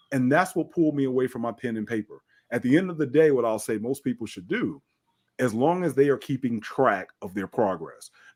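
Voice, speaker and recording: A man uses a normal speaking voice at a medium pitch, with a fairly quick pace and lively intonation. The recording is very clean, with a silent background and a dry, close sound with no echo. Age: 50s. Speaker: fitness trainer and bodybuilder. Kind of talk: podcast interview.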